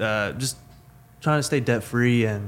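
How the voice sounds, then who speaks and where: A man speaks with a Texan accent. His pace is fairly quick. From Texas (Weatherford). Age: 20s. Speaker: mechanical engineer. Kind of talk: casual chat.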